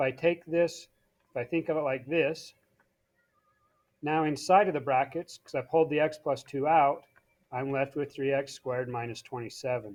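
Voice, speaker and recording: Speaking at a moderate pace with fairly even intonation, a fairly high-pitched man leaves long, frequent pauses, his loudness swinging widely. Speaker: math teacher. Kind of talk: tutorial.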